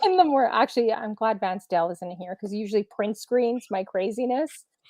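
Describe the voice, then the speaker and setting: A woman with a Canadian accent speaks at a fairly quick pace in a plain, everyday voice. Her pitch sits fairly high, and her intonation is lively. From Canada. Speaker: DJ, show guest. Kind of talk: casual chat. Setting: live stream.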